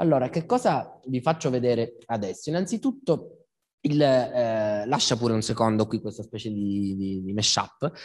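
Against a quiet background, a man with an unremarkable speaking voice talks at medium pitch and a moderate pace with ordinary pitch variation. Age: 30s. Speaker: philosopher and lecturer; speaker. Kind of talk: public talk. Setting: stage with live audience. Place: hall. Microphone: handheld.

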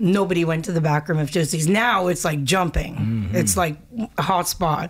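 A woman speaks at a moderate pace with fairly low pitch. Her pitch varies in an ordinary way. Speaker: singer. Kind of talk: interview answer. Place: studio. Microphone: studio mic.

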